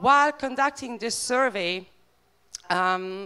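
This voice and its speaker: With a Bosnian accent, a woman speaks at a very slow pace with lively intonation. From Bosnia and Herzegovina. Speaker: animal rights campaigner. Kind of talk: conference talk. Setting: stage with audience. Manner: hesitant, many fillers.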